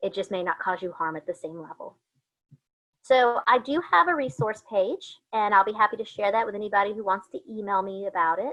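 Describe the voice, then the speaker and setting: At a fairly quick pace, a woman speaks at a medium pitch with ordinary pitch variation and big swings in loudness. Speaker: college student affairs administrator giving a presentation. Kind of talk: online presentation. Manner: fast.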